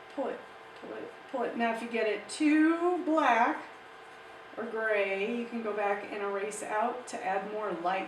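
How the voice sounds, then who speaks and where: Noticeable background noise and audible room echo surround the recording. A woman speaks in a fairly high pitch. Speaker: art teacher. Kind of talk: tutorial.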